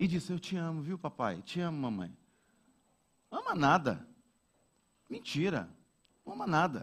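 Speaking at a fairly slow pace with long, frequent pauses, a man with a fairly high pitch shows vocal fry and lively intonation. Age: 40s. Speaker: pastor. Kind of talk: sermon.

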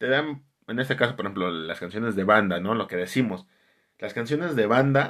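This man speaks with a Mexican accent at a medium pitch and a fairly quick pace, his intonation lively. The recording is very clean, with a silent background. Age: 30s. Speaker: podcast host. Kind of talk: casual monologue.

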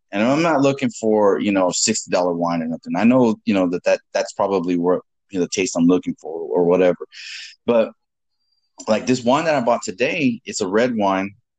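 A man speaks at a fairly quick pace with ordinary pitch variation and a medium pitch, in an ordinary speaking voice. The sound is dry and close, with no echo. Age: 30s. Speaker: podcast host. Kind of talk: casual chat.

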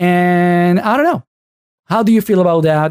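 A man with a Spanish accent, dark and mellow in tone, lively in intonation, at a moderate pace. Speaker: podcast host, Spanish teacher. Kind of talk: casual interview conversation. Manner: halting, many false starts.

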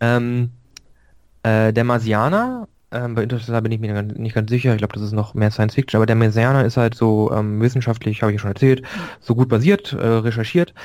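At a fairly quick pace, a man with a medium pitch speaks in a monotone, flat manner. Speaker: podcast co-host. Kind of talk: casual chat. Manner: calm.

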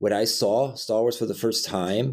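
This man has a plain, everyday voice. He speaks at a moderate pace with ordinary pitch variation. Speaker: co-host. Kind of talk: casual podcast chat.

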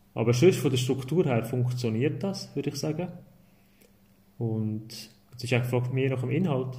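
A man speaks at a moderate pace in a somewhat breathy, dark, mellow tone at medium pitch, with ordinary pitch variation, long, frequent pauses and audible room echo. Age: 30s. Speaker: primary school teacher, media education advisor. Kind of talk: casual interview.

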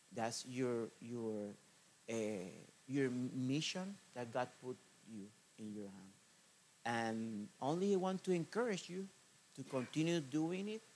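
The speaker talks very slowly in a Spanish accent, with long, frequent pauses. Pitch swings very widely, and loudness rises and falls sharply. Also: man, medium pitch for a man. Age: 40s. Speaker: missionary preacher. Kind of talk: sermon. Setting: church. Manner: halting, with many fillers and repetitions.

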